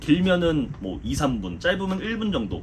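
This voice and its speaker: There is noticeable background noise as a man with a fairly high pitch talks at a fairly slow pace, his pitch swinging very widely. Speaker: football commentator. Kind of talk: casual Q&A talk.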